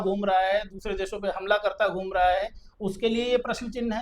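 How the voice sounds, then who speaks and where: This man's high-pitched voice stays monotone and flat as he speaks at a moderate pace. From Uttar Pradesh, Kanpur. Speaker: lawyer. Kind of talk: interview.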